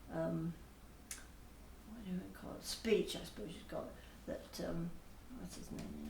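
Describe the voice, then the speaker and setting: In a room with audible echo and noticeable background noise, a woman talks at a fairly slow pace with a British accent. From England, Bath, Somerset. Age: 80s+. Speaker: parishioner. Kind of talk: interview.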